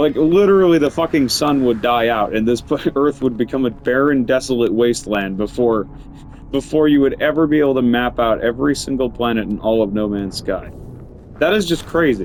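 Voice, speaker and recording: An animated tone comes through at a fairly quick pace, with ordinary pitch variation and very even loudness. Noticeable background noise is present. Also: man, medium pitch for a man. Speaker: gaming streamer. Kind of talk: gameplay commentary. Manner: casual, animated.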